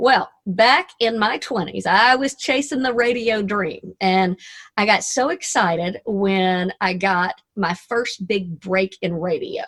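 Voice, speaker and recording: A woman speaks at medium pitch with a Southern US accent. She talks very slowly and hardly pauses at all. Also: ordinary pitch variation. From US South, Arkansas. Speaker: motivational speaker and radio DJ. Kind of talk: motivational talk. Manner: animated.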